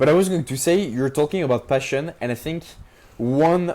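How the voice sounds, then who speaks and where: Moderate pace and a dark, mellow tone in a strong French accent, with ordinary pitch variation on a very clean recording with a silent background. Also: man. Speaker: entrepreneur. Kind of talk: casual interview chat. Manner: many fillers and hesitations.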